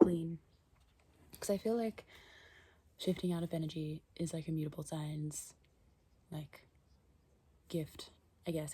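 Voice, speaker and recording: A soft-spoken woman whispers at a moderate pace, somewhat breathy. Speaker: astrology and tarot content creator. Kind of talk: casual monologue vlog. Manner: whispering, soft; hesitant, many fillers.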